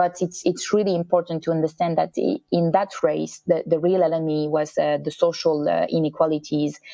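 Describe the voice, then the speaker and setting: In a French accent, a woman with a very deep, low voice speaks at a moderate pace with fairly even intonation. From France. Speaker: sustainability consultant in motorsport. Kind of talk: online masterclass talk. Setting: virtual event. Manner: hesitant, many fillers.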